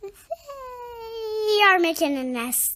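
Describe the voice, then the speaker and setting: Someone puts on a squeaky character voice at an extremely high pitch. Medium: read story.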